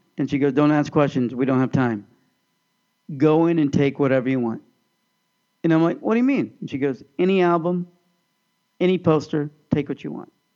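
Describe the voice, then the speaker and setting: With an American accent and a dark, mellow tone, a man of fairly high pitch talks at a fairly quick pace with ordinary pitch variation and long, frequent pauses. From US Midwest, Overland Park, Kansas. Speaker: podcast co-host. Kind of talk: casual chat.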